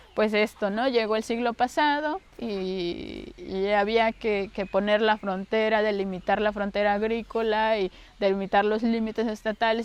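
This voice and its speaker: Amid noticeable background noise, a woman with a fairly high voice talks at a moderate pace with hardly any pauses and fairly even intonation. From Mexico, Campeche (Calakmul). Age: 30s. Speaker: interviewee, farmer's daughter. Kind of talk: documentary interview. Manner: halting, with fillers.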